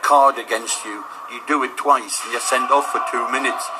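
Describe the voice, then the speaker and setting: A man amid noticeable background noise. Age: 60s. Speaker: walking football player. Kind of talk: radio interview. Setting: sports hall.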